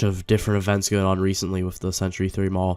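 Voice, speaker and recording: A man speaks in a very clean recording with a silent background. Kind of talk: casual talk to camera. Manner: hesitant, stuttering, many filler words.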